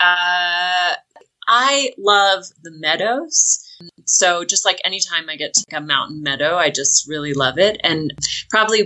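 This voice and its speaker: A woman with an American accent has a plain, everyday voice, fairly low in pitch with ordinary pitch variation. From Washington state, US Pacific Northwest. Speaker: long-distance hiker. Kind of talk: casual interview.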